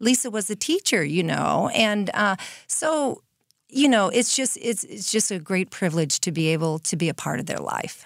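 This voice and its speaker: In a very clean recording with a silent background, a woman speaks at a moderate pace in a warm, medium-pitched tone with vocal fry and very wide pitch swings. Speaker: nonprofit co-founder. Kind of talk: interview. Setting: studio. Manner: warm and effusive.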